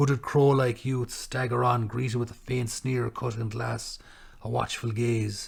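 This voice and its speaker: A man with an Irish accent, somewhat breathy, at a medium pitch, fairly slow, in a flat monotone. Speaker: poet. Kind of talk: poetry reading.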